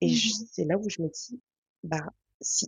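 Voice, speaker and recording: A woman speaks in a somewhat breathy voice. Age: 20s. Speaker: laboratory worker. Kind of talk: casual chat.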